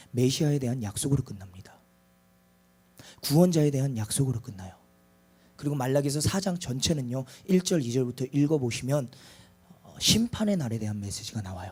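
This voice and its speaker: Medium-pitched male speech at a fairly quick pace, with lively intonation, big swings in loudness and long, frequent pauses. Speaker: preacher. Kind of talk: sermon.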